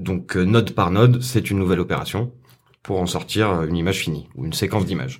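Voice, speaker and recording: On a very clean recording with a silent background, a man with a very deep, low voice and vocal fry talks at a fairly quick pace. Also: ordinary pitch variation. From France, Saint-Etienne. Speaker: compositing artist. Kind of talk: interview.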